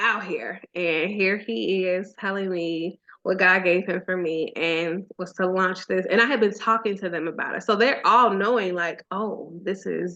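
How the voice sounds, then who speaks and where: A bright, sharp tone at a fairly slow pace, with ordinary pitch variation. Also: woman, medium pitch for a woman. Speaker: blogger and content creator. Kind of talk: casual chat. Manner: animated; slow, deliberate at times.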